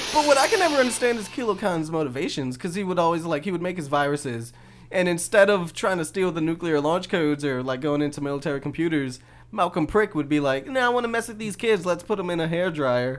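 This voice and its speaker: A man with an American accent talks at a very fast pace in a high pitch. His intonation is lively, and the recording is very clean with a silent background. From US South, New Orleans. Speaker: podcast co-host. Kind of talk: casual chat.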